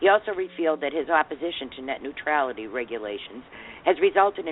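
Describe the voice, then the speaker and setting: A woman with a Boston accent talks very fast in a very deep, low voice. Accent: thick Boston. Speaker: radio talk show host. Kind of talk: reading a news article aloud; casual talk show chat. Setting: studio.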